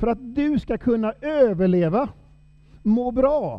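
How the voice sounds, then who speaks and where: A man's voice with lively intonation. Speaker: preacher. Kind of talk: sermon.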